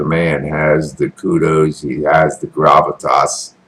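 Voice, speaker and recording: A man speaks with an American accent. Noticeable background noise is heard. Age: 60s. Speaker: military veteran and online commentator. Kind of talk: casual political commentary monologue. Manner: animated.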